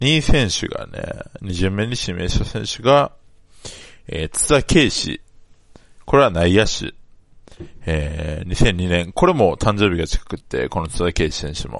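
A man's fairly low voice at a fairly slow pace, with long, frequent pauses, very wide pitch swings and big swings in loudness. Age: 20s. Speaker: sports fan podcaster. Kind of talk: casual solo monologue.

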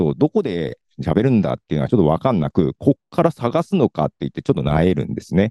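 A man talks at a very fast pace, with a dry, close sound with no echo. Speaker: podcaster. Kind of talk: short presentation. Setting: video call.

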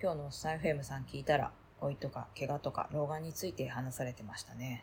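A woman with a very deep, low pitch and vocal fry speaks at a fairly quick pace with fairly even intonation. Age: 40s. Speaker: voice diary podcaster. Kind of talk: casual personal voice diary monologue.

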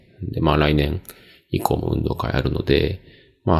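A man's very deep, low pitch with vocal fry, in a relaxed tone at a fairly quick pace. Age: 40s. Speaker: podcast host. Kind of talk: casual solo monologue. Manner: many filler words, relaxed.

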